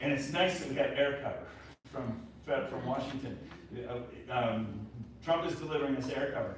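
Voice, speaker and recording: The voice moves at a moderate pace with ordinary pitch variation, while audible room echo and noticeable background noise fill the recording. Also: man. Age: 60s. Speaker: election integrity activist. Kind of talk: speech to local audience.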